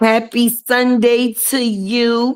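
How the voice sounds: A woman's clear, smooth, fairly high voice with little pitch movement, at a very slow pace.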